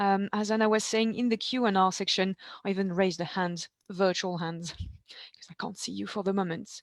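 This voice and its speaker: In a slight French accent, a woman talks at a moderate pace with a medium pitch, the sound dry and close with no echo. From eastern France. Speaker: ancient food specialist. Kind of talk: webinar presentation. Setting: video call.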